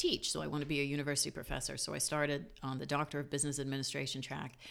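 Speaking at a very fast pace, a woman uses a very deep, low pitch and a bright, sharp tone, with vocal fry. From Jamaica. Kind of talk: casual interview chat.

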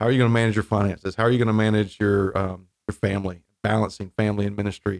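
Very fast and with hardly any pauses, a man with an American accent speaks at a fairly low pitch in a flat, monotone way, his loudness very even and his sound dry and close with no echo. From North Carolina coast (Wilmington). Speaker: seminary dean and pastor. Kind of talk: interview.

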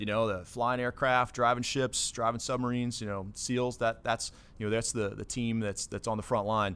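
A man with an American accent and a medium pitch speaks at a fairly quick pace with ordinary pitch variation, on a very clean recording with a silent background. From Ohio, US Midwest (Dayton). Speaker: naval base commanding officer. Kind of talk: interview. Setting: studio.

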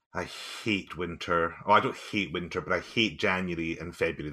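A man with a Highland Scottish accent speaks in a bright, sharp tone. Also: very clean recording, silent background. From Scottish Highlands. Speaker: musician and teacher. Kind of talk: interview conversation.

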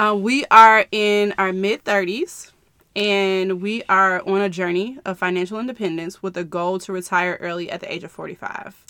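A woman with an American accent speaks in a bright, sharp tone at a moderate pace, her intonation fairly even. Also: medium pitch for a woman. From Chicago area, US Midwest. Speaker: podcast co-host. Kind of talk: casual chat.

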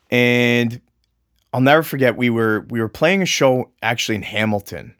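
A normal speaking voice from a man with a Canadian accent, medium pitch, ordinary pitch variation and a moderate pace, dry and close with no echo on a very clean recording with a silent background. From Ontario, Canada (Mississauga). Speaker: martial arts instructor and realtor. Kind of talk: casual interview chat.

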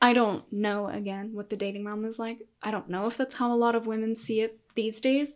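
The delivery is fairly quick, in an American accent with monotone, flat intonation. The recording is very clean, with a silent background. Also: woman, fairly high pitch for a woman. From Colorado, US. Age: 20s. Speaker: podcast guest. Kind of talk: casual chat.

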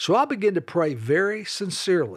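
A man with a Southern US accent in a very clean recording with a silent background. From US South, North Carolina (Charlotte). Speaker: evangelism ministry leader. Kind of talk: religious teaching podcast.

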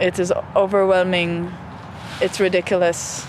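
A woman speaks at a medium pitch and a fairly slow pace. Her intonation is flat and monotone, with noticeable background noise. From Israel. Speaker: artist. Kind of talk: interview.

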